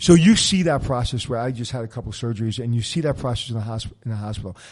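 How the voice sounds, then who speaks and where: A man speaks very fast at a medium pitch, somewhat breathy, with ordinary pitch variation and big swings in loudness. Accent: New York. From Brooklyn, New York. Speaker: podcast host, hotel expert. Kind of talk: casual interview chat.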